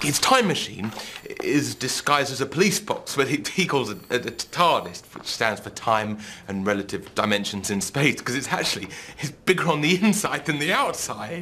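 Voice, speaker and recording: Against light background noise, a man talks at a moderate pace with very wide pitch swings. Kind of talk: scripted comedy dialogue. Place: office.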